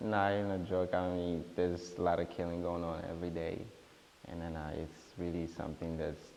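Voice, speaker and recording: A very deep, low-pitched man with a strong East African accent, at a moderate pace, with audible room echo. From Rwanda, Burundian family. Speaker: talk show guest. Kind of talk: interview.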